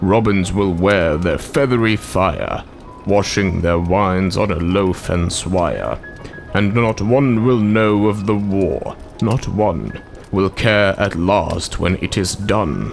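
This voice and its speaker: A man puts on a character voice with a fairly low pitch. He speaks at a fairly slow pace over clear background noise. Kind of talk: poetry reading.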